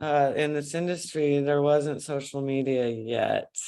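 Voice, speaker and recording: In a West Coast accent, a woman speaks at a very deep, low pitch, fairly slowly and with fairly even intonation. The recording is very clean, the background silent. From Northern California. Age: 60s. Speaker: yoga and fitness instructor. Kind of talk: podcast interview.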